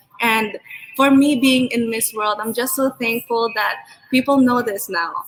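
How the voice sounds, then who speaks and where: Against noticeable background noise, a woman speaks at a fairly quick pace in a high pitch with ordinary pitch variation. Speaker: beauty pageant candidate. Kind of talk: interview closing remarks.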